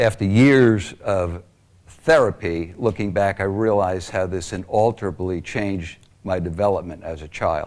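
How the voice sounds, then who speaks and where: A man speaks at a moderate pace with an American accent, his pitch fairly low with ordinary variation. He has an ordinary speaking voice. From Long Island, New York. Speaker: abuse survivor speaker. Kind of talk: testimony.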